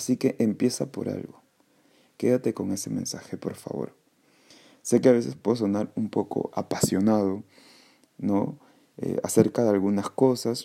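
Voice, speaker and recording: A man's dark, mellow tone at a fairly slow pace, with long, frequent pauses and ordinary pitch variation. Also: fairly low pitch for a man. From Peru, Callao. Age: 20s. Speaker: podcast host, English teacher. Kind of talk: casual solo podcast monologue. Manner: halting, many fillers; passionate.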